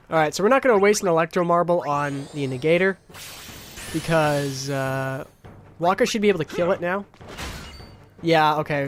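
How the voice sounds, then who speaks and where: Noticeable background noise runs beneath speech with ordinary pitch variation. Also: man, fairly high pitch for a man, moderate pace. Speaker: gaming YouTuber. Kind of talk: live gameplay commentary. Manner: casual, hesitant with many fillers; stuttering.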